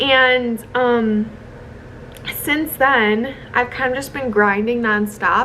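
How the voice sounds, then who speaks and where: With an American accent and ordinary pitch variation, the voice is heard over noticeable background noise. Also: woman. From US Midwest, Chicago. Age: 20s. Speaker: content creator. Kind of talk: casual vlog monologue. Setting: hotel room. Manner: chatty, many fillers.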